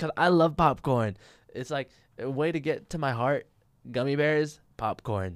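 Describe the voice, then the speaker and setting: On a very clean recording with a silent background, a man with an American accent speaks at a fairly high pitch with ordinary pitch variation. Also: fairly slow pace. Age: 20s. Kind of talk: casual solo monologue. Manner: hesitant, filler-heavy.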